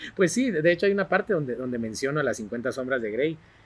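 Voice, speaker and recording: An unremarkable speaking voice from a man, fairly high-pitched, with lively intonation at a fairly quick pace. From Guatemala, Barberena, Santa Rosa. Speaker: television personality and author. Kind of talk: podcast interview.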